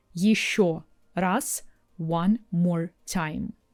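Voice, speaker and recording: A woman's dark, mellow, medium-pitched voice with a Russian accent, in a very clean recording with a silent background. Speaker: language teacher. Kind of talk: tutorial. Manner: clear, deliberate.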